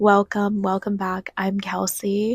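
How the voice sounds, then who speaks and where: A woman's medium-pitched voice with an American accent, in a dry, close sound with no echo. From New York. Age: 20s. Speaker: YouTuber. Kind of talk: casual vlog monologue. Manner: animated.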